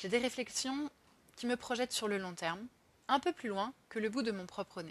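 A woman speaks in a plain, everyday voice at a fairly high pitch. Her pace is moderate, with ordinary pitch variation. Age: 30s. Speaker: podcaster on career change and social economy. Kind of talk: personal monologue podcast.

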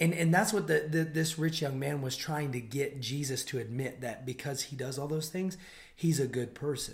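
Speaking at a moderate pace, a man with a fairly high pitch sounds somewhat breathy. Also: ordinary pitch variation. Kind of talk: casual faith discussion.

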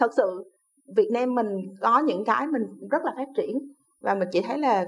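A woman talks with a high pitch and lively intonation. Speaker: VFX lighting team leader. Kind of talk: interview.

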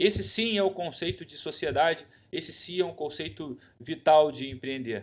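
In a Brazilian accent, a man speaks at a moderate pace with a fairly high pitch, lively intonation and vocal fry, on a very clean recording with a silent background. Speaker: podcast host. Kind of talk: solo podcast monologue.

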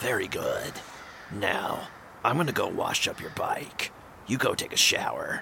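At a moderate pace, a raspy, put-on character voice speaks with long, frequent pauses over clear background noise. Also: man. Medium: actual play.

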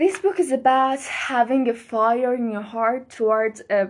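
A woman with a Persian accent speaks at a high pitch and a very slow pace. The background is quiet. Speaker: podcast host. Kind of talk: solo monologue, book recommendations. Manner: casual, laughing often.

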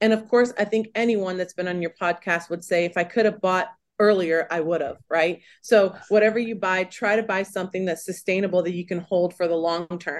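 Against a quiet background, a woman with an American accent and a plain, everyday voice speaks at a medium pitch with fairly even intonation. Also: fairly quick pace. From California. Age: 40s. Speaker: mortgage lender. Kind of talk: interview.

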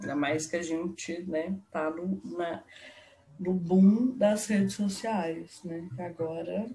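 Over noticeable background noise, a woman with a fairly low pitch speaks very slowly with ordinary pitch variation. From Belo Horizonte, Minas Gerais, Brazil. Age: 20s. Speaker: podcast co-host. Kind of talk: casual chat. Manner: animated.

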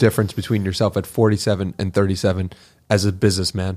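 At a very fast pace, a man speaks on a very clean recording with a silent background. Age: 20s. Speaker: podcast host. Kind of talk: casual chat.

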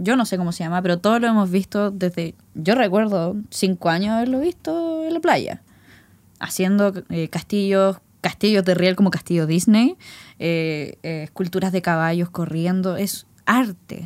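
In a normal speaking voice, a woman talks at a fairly slow pace with medium pitch and lively intonation, captured on a very clean recording against a silent background. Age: 20s. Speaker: podcast co-host. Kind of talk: casual chat.

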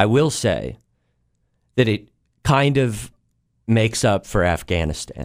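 A man's voice with vocal fry and lively intonation, full of long, frequent pauses, in a very clean recording with a silent background. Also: medium pitch for a man, fairly slow pace. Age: 30s. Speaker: comedian. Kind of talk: casual chat.

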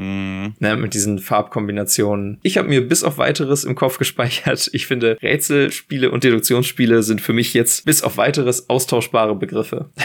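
A man speaks at a moderate pace with hardly any pauses, at medium pitch and ordinary variation. It is a normal speaking voice. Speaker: board game podcast co-host. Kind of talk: casual chat.

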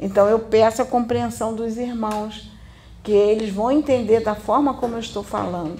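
Speaking at a moderate pace, a woman has a fairly high pitch, fairly even intonation and an unremarkable speaking voice. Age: 60s. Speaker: spiritist medium. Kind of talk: spiritual teaching.

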